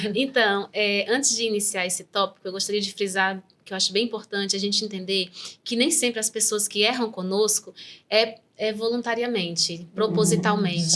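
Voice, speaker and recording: Fairly even female intonation at a moderate tempo. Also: medium pitch for a woman. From Brazil, Northeast interior. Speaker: neuropsychopedagogue. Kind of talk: interview, personal testimony.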